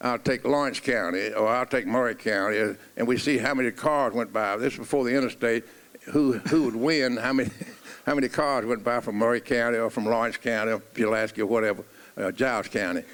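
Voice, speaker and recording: Here a man talks with a Middle Tennessee accent. His pitch is medium and his intonation fairly even. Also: fairly quick pace. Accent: Southern US (Middle Tennessee). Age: 80s. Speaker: coach. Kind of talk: reminiscing in a stage conversation.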